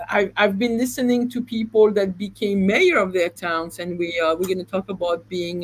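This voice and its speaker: Speaking with a non-native accent at a moderate pace, this voice shows ordinary pitch variation and hardly any pauses. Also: woman. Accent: noticeable non-native. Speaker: real estate agent. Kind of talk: live stream discussion. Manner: halting.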